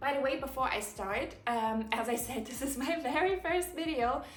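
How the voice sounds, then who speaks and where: Audible room echo and noticeable background noise surround this woman as she speaks at a moderate pace. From Germany. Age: 20s. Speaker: content creator. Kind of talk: casual Q&A vlog monologue. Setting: home living room, recording alone. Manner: animated.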